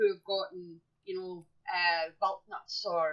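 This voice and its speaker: The pitch swings very widely. The speaker has an English accent. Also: woman. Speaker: podcast co-host. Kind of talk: casual chat. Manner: animated.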